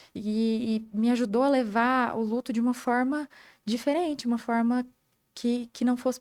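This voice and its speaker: In a very clean recording with a silent background, a woman with a high pitch speaks at a moderate pace, her loudness very even and her intonation fairly even. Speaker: medical student. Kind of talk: interview.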